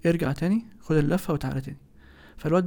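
Pitched fairly high, this man's voice has a dark, mellow tone and sounds somewhat breathy. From Egypt. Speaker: architect. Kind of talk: interview.

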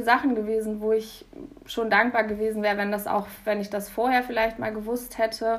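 A woman is speaking at a fairly quick pace. Her pitch is fairly high. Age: 20s. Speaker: university student. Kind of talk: casual interview.

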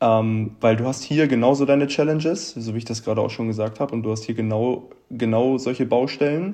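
A man at medium pitch with a dark, mellow tone, ordinary pitch variation and a moderate pace. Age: 20s. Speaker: traveller and steel worker. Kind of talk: casual interview chat. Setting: video call.

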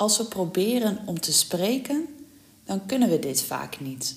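A woman speaks at a very slow pace in a medium pitch, her voice creaking with vocal fry as it moves through very wide pitch swings. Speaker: language teacher. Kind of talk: tutorial. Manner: clear.

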